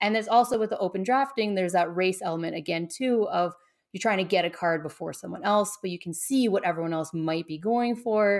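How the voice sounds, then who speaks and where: At a fairly quick pace, a woman with an unremarkable speaking voice talks at medium pitch with ordinary pitch variation in a very clean recording with a silent background. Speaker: game designer, YouTube creator. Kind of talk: casual interview chat.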